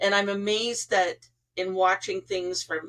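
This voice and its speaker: A woman speaks at a medium pitch and a fairly slow pace. She has an unremarkable speaking voice. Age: 60s. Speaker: psychic medium and podcast host. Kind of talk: casual interview chat.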